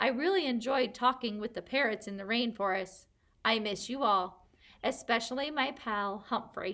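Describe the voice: The reading aloud is plain, and its pitch rises and falls by an ordinary amount.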